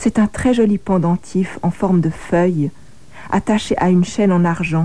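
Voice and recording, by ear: Someone reads aloud in a natural voice.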